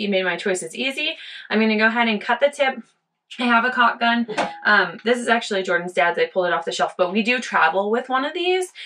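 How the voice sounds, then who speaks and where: A woman's very fast speech over light background noise. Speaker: DIY RV vlogger. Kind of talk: tutorial. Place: bathroom. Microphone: phone near.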